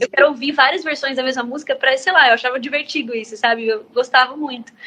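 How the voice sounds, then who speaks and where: Projecting a raised voice, a woman speaks at a high pitch and a fairly quick pace. Her pitch varies in an ordinary way, and there is noticeable background noise. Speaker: singer-songwriter. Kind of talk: interview answer. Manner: casual, chatty.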